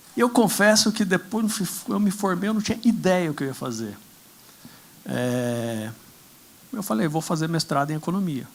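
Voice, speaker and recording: A man with a rural Brazilian accent at a moderate pace, with very wide pitch swings and long, frequent pauses. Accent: Brazilian interior. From Brazilian interior. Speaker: political candidate on a panel. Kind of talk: conference panel talk.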